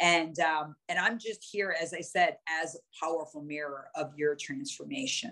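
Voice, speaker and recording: Her tone is bright and sharp, and her intonation lively. The woman uses a fairly low pitch at a moderate pace. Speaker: performance coach and speaker. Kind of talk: online workshop talk. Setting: video call.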